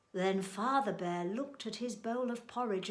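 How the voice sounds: Natural reading voice, pitch varying in an ordinary way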